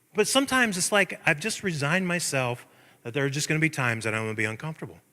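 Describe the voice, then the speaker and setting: A loud, animated man with a bright, sharp tone, a fairly high pitch, very wide pitch swings and a very fast pace. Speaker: pastor. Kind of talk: sermon.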